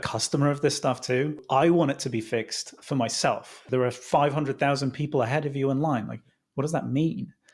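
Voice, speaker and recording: A man with a British accent, fairly high-pitched and fairly quick, with fairly even intonation on a very clean recording with a silent background. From UK. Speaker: startup founder and CEO. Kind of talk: podcast interview.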